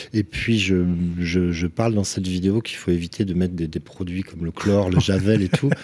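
Speaking at a fairly quick pace, a man uses a very deep, low pitch with fairly even intonation. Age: 50s. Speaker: roofer and business owner. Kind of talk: casual chat. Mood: relaxed anecdote telling. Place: studio. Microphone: studio mic.

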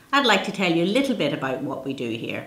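Audible room echo surrounds the voice. A woman speaks at a very fast pace and a fairly low pitch. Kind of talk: promotional presentation to camera. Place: office.

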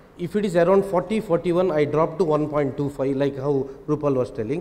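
His pitch shows ordinary variation. The man talks at a fairly slow pace. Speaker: eye surgeon; panelist. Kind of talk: panel discussion. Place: hall. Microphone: handheld.

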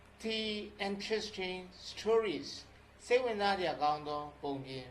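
The speech moves at a very slow pace. Noticeable background noise runs underneath it. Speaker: English teacher. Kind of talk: tutorial.

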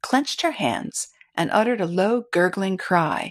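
Only quiet surrounds this unforced reading voice.

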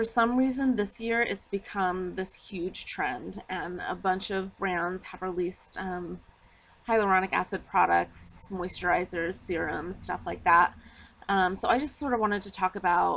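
The pitch rises and falls in an ordinary way while the delivery keeps a moderate speed. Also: woman. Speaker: skincare vlogger. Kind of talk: casual explanatory vlog. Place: street. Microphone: phone near.

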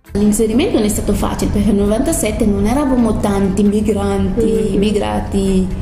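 A woman talks at a fairly quick pace with fairly even intonation over noticeable background noise. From Senegal. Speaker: cultural mediator. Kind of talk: interview answer. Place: home room. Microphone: camera far.

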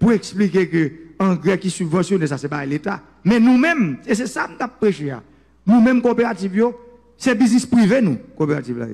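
A high-pitched man at a moderate pace, with very wide pitch swings. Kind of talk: political speech.

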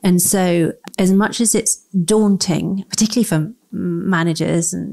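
A woman speaks with a London accent and ordinary pitch variation. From London, England. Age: 40s. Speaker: author and brand strategist. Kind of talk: interview conversation.

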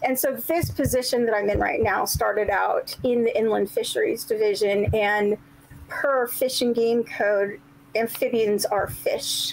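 A woman at a fairly slow pace with very even loudness. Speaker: state wildlife herpetologist. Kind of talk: casual interview. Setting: video call. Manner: chatty, laughs often. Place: home room. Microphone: webcam.

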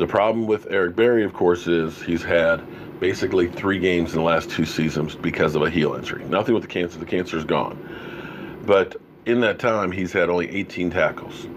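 Against noticeable background noise, a man with a very deep, low pitch talks at a fairly quick pace with fairly even intonation. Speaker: sports fan show host. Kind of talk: commentary. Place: home room. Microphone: studio mic.

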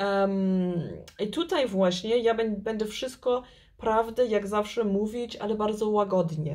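A woman speaks at a very slow pace with ordinary pitch variation against a quiet background. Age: 40s. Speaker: tarot reader and YouTube channel host. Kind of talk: tarot card reading video. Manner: halting, hesitant, with filler words. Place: home room. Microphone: phone near.

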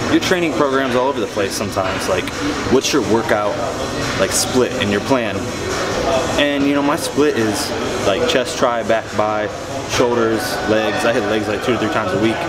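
A man at a moderate pace with long, frequent pauses and ordinary pitch variation, clear music in the background. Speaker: fitness vlogger. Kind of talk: casual vlog chat. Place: gym. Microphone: phone near.

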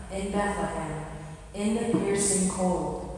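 Amid strong room echo and light background noise, a woman speaks in a flat monotone at a fairly slow pace. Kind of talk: church talk to a congregation. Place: church.

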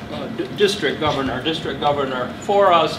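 There is noticeable background noise behind a man speaking with fairly even intonation. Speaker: guest. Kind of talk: club presentation talk. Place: hall. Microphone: camera far.

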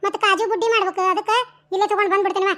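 A woman does a squeaky, cartoonish character voice at an extremely high pitch with fairly even intonation. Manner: fast, sharp-tongued.

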